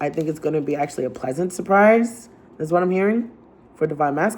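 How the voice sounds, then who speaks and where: A woman with an American accent talks at a fairly quick pace with a fairly low pitch. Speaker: tarot reader. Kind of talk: tarot reading. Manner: casual, with filler words.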